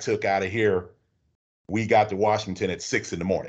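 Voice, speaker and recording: Fairly low male voice in a monotone, flat intonation, fairly quick pace, quiet background. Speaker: bus driver, veteran and union rep. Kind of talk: casual interview.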